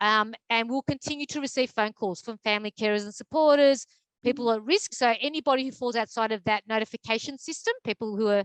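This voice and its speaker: Very fast and at a fairly high pitch, a woman speaks with an Australian accent, the sound dry and close with no echo over a quiet background. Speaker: mental health advocacy program manager. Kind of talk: presentation. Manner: hesitant with many fillers.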